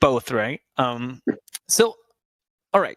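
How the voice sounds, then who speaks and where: A French accent at a fairly slow pace, with a dry, close sound and no echo. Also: man. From France. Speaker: podcast host, customer experience professional. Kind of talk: casual chat.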